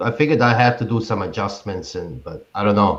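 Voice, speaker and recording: With a slight Bosnian accent, a man speaks in a somewhat breathy voice with lively intonation. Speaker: hobby beekeeper. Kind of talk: casual chat.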